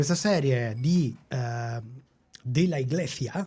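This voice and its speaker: On a very clean recording with a silent background, a man speaks in a fairly high pitch with a dark, mellow tone, somewhat breathy, with ordinary pitch variation. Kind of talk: casual chat.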